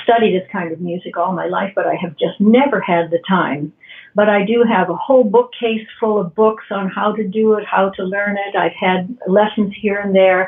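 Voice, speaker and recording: This is a normal speaking voice from a woman at medium pitch. Her intonation is fairly even, and her pace is moderate. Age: 60s. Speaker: retired piano technician learning jazz. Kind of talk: podcast interview.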